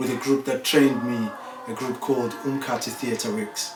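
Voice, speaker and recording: A man with a Zimbabwean accent and fairly high pitch, moderate pace, audible room echo, and music in the background. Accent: Zimbabwean (Ndebele) English. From Zimbabwe, Bulawayo. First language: Ndebele. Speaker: percussionist and performing artist. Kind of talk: interview monologue about his life. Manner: hesitant, many fillers.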